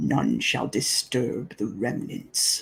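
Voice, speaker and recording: Growling and raspy, a man does a put-on character voice at a medium pitch. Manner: tired, ominous.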